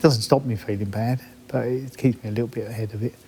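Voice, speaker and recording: A man with an English accent, medium in pitch, with fairly even intonation. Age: 60s. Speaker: roofer and adventurer. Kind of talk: documentary interview.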